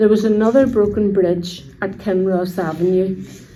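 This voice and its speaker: In a room with audible echo, a woman with a medium pitch speaks at a moderate pace. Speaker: local resident sharing memories.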